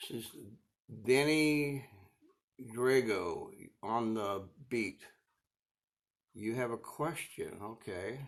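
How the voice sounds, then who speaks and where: Speaking very slowly with an American accent, a man leaves long, frequent pauses while his pitch varies in an ordinary way. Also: medium pitch for a man. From Arizona. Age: 70s. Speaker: woodturner. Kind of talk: casual chat. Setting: livestream. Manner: relaxed.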